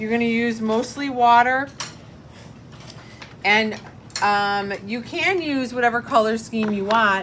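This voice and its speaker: In an ordinary speaking voice, a woman talks at a fairly slow pace in a fairly high pitch with ordinary pitch variation, over light background noise. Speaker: middle school art teacher; art teacher. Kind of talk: classroom tutorial. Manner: casual. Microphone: phone near.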